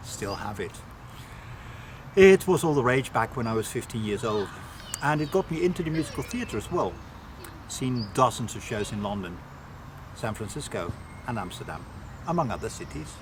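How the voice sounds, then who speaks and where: Medium-pitched male speech at a moderate pace, with very wide pitch swings, long and frequent pauses, and noticeable background noise. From Netherlands. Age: 60s. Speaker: metal singer. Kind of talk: interview answers.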